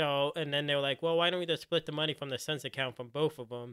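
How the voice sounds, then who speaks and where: This man speaks with an American accent in a flat, monotone delivery. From US Northeast, Philadelphia. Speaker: podcast host. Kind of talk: casual chat.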